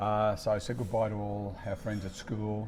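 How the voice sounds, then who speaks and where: A man with an Australian accent, fairly low in pitch, amid audible room echo. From Australia, raised from age three; born in Italy. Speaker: podcast host and author. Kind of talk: casual conversational storytelling. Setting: cafe.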